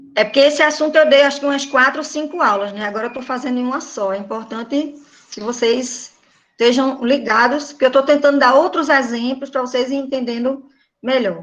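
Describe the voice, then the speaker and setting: Fairly quick delivery with fairly even intonation and audible room echo. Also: woman, high pitch for a woman. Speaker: teacher. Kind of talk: online class lecture. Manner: informal.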